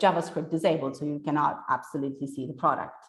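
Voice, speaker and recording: A woman speaks in an enthusiastic tone. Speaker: SEO specialist giving a conference talk. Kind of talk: presentation.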